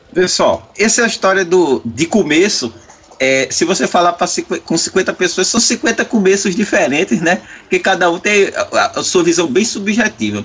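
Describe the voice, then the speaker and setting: A man with a high pitch and lively intonation speaks at a moderate pace. His loudness is very even, and there is noticeable background noise. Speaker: metal musician. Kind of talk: casual chat.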